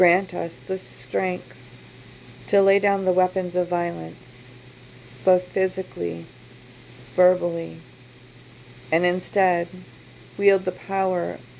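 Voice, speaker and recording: At a very slow pace with long, frequent pauses, a woman speaks. Her pitch is medium and her intonation monotone and flat. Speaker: podcast host. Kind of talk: fervent prayer, solemn and earnest, read with an open-hearted plea for world peace. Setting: podcast recording.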